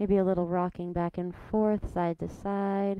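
A woman speaks in a dark, mellow tone. The sound is dry with no echo, against a quiet background. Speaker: yoga instructor. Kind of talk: guided yoga instruction. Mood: calm, soothing. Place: hall.

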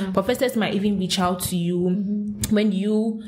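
A woman's medium-pitched voice, with fairly even intonation, is heard against noticeable background noise. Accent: Ghanaian. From Ghana. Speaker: podcast guest, law school student in the US. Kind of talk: conversational, informal.

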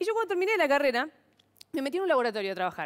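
A woman's high voice makes very wide pitch swings. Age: 30s. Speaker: stand-up comedian and biotechnologist. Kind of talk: stand-up comedy. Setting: TV studio with audience. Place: stage. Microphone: headset.

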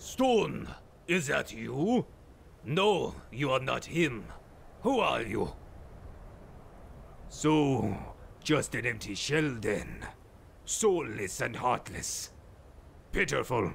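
Clear background noise runs behind a man who speaks very slowly with long, frequent pauses. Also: medium pitch for a man. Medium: machinima. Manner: cold, scornful.

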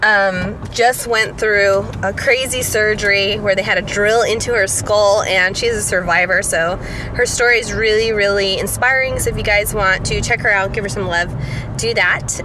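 Over noticeable background noise, a woman speaks with fairly even intonation in a dry recording with no echo. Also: moderate pace. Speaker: vlogger. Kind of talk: casual vlog chat. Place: car. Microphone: phone near.

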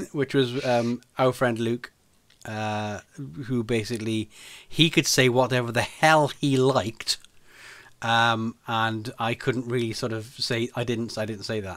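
The background is quiet as a man talks. His pace is fairly slow and his intonation fairly even. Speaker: podcast host or guest. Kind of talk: casual podcast conversation, storytelling. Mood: amused, laughing anecdote. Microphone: studio mic.

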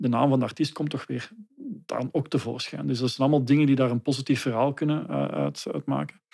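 A medium-pitched male voice over a quiet background. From Belgium, Leuven area (Flanders); Belgium. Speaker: trademark consultant; guest. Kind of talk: interview. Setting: studio. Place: home room. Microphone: studio mic.

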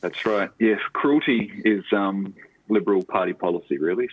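In a dry recording with no echo, a man talks with an Australian accent. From Tasmania, Australia (Launceston). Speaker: novelist and writing lecturer. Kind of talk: interview. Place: home room. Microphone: earbuds.

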